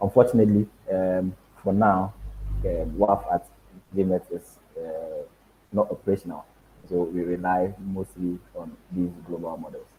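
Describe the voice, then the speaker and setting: Loudness swings widely as a man talks at a fairly slow pace with long, frequent pauses. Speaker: meteorologist. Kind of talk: lecture. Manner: halting with fillers.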